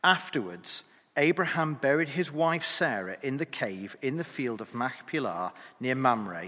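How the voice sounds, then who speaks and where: Speaking at a fairly slow pace, a man with a medium pitch and a bright, sharp tone uses very wide pitch swings and some vocal fry. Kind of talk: reading aloud. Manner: clear.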